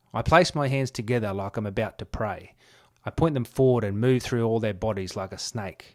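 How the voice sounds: The pitch moves in an ordinary way through this natural reading voice.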